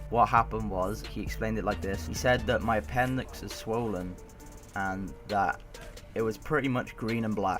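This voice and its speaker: Backed by music, a man with a medium pitch talks at a fairly quick pace. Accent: British. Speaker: gaming YouTuber. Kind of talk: casual storytelling to camera.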